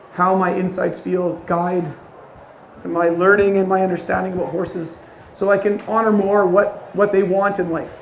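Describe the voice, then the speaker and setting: A man's high voice in monotone, flat intonation, with audible room echo and noticeable background noise. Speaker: horse trainer. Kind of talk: lecture.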